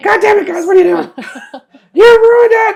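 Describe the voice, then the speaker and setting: A put-on character voice with an extremely high pitch moves along at a fairly quick pace. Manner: angry, scolding.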